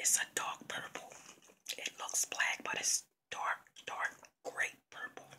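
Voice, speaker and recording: Very slow whispering from a woman. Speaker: ASMR vlogger. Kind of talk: ASMR whispered video. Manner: soft, whispering. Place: home room. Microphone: phone near.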